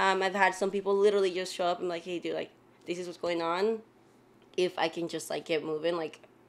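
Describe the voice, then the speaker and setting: A woman speaks very fast in a fairly low pitch with monotone, flat intonation. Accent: Spanish. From Mexico, moved to the US at age nine. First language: Spanish. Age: 20s. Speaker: personal trainer. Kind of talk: casual chat.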